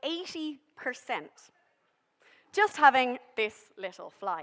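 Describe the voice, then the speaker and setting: Someone with a Dublin accent speaks at a very slow pace, the pitch swinging very widely. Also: woman. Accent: Irish (Dublin). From Ireland, Dublin. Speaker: behavioural scientist. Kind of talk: public science talk. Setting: stage with audience. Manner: casual, humorous presenting.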